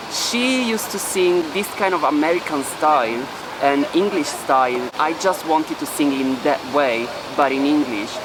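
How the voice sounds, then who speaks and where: Amid noticeable background noise and audible room echo, a man with a fairly high voice talks at a moderate pace with lively intonation. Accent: Italian. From Italy. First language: Italian. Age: 20s. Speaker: singer. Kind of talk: documentary interview.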